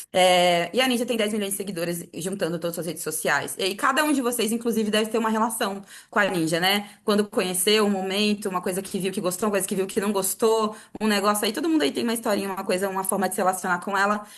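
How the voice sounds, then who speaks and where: A woman talks at a very fast pace with hardly any pauses. Her pitch sits in the medium range and varies in an ordinary way. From Cuiabá, Mato Grosso, Brazil. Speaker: communicator, media network co-founder. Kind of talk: workshop talk.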